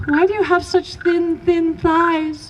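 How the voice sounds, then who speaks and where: A squeaky, put-on character voice speaks at a fairly slow pace with monotone, flat intonation over clear background noise. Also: woman. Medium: read story. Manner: probing, questioning.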